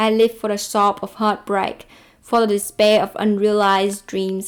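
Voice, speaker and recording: A woman with a non-native accent speaks at a moderate pace. Her medium-pitched voice keeps a fairly even intonation. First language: not English. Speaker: book video creator. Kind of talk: book review monologue; reading own poem aloud.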